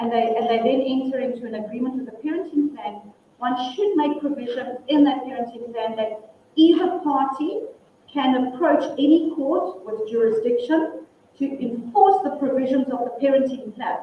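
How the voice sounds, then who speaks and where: Loud, lively intonation from a woman with a high pitch, plus audible room echo. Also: moderate pace. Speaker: family law attorney and mediator. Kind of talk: workshop presentation and Q&A.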